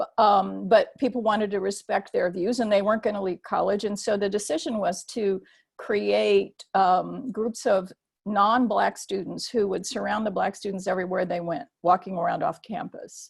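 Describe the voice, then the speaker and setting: A woman speaks in an American accent at a moderate pace, her pitch medium. Her intonation stays fairly even, with some vocal fry. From US military bases, Japan-born mixed-race. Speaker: theologian. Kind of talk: webinar talk. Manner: hesitant, many fillers.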